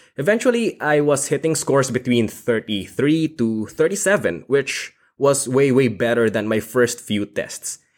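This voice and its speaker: Speaking at a fairly slow pace with a Filipino accent, a man with a medium-pitched voice uses lively intonation and hardly any pauses in a very clean recording with a silent background. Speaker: podcast co-host. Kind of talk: casual chat.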